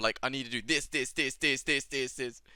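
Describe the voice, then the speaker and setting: Music plays behind the speech. The speaker is a man. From British. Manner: talks this way habitually.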